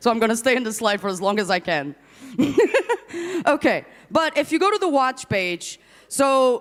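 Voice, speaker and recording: Loud and animated, a woman with a non-native accent speaks at a moderate pace in a high pitch, with very wide pitch swings. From Portugal. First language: not English. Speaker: conference MC. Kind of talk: live event hosting. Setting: stage with audience.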